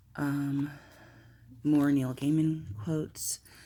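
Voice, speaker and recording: A woman mumbles in a very deep, low voice with a dark, mellow tone and flat, monotone delivery. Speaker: planner and notebook video maker. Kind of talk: casual show-and-tell video. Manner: mumbling.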